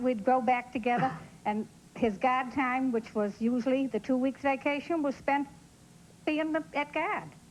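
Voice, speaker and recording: Pitched high, a woman's voice moves with ordinary pitch variation. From Boston. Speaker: talk show audience member. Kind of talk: casual chat.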